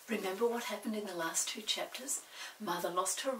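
Reading aloud in a natural voice, the speaker varies pitch in an ordinary way.

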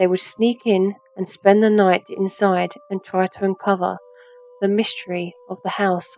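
A woman speaks at a medium pitch in a flat monotone. Noticeable background noise runs beneath her voice. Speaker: voice actor. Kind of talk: read story.

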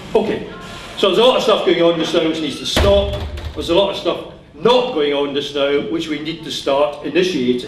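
A man talks with audible room echo. Light background noise can be heard. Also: fairly quick pace. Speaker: speaker. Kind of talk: public speech. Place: hall. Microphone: podium.

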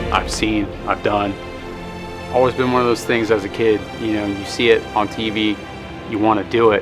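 Over clear music in the background, a man with a fairly low voice speaks at a moderate pace. His intonation is monotone and flat, with long, frequent pauses. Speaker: pro wrestler. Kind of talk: documentary interview answer. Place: hall.

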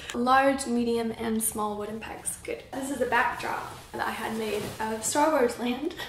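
With light background noise and audible room echo, a woman speaks fairly slowly at a high pitch. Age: 20s. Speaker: craft YouTuber. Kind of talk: casual vlog. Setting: home. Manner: animated. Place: home room. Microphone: camera far.

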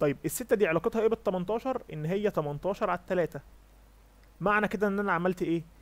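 The speaker is a man with an Egyptian accent. His voice is high in pitch. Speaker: competitive programming instructor. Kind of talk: lecture.

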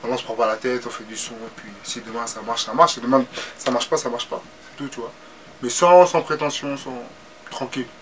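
Fairly quick speech with big swings in loudness, long, frequent pauses and noticeable background noise. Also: man, medium pitch for a man, ordinary pitch variation. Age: 20s. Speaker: rapper. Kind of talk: casual interview. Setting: studio.

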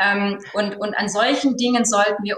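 A woman talks at a moderate pace. Her intonation is fairly even, and there is audible room echo. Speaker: business owner; guest. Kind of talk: panel discussion. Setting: video call. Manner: hesitant, many fillers. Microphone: earbuds.

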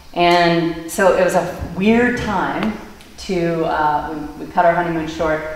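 The speaker has an American accent and fairly even intonation. Audible room echo and light background noise are present. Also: woman. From Maine, US. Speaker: grain mill founder and CEO; lecturer. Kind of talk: public talk. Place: church. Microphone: camera far.

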